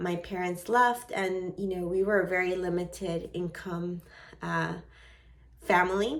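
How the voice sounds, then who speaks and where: Speaking at a fairly slow pace with a slight Venezuelan accent, a woman keeps a medium pitch and fairly even intonation. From United States, raised from age six after leaving Venezuela. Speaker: vlogger. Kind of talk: personal vlog monologue.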